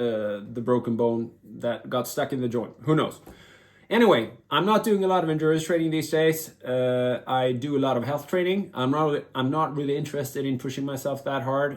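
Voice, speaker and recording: A man's fairly high voice with a Swedish accent. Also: ordinary pitch variation, fairly quick pace. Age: 50s. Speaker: vlogger and former elite endurance athlete. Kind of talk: casual vlog monologue. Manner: halting, many fillers and restarts.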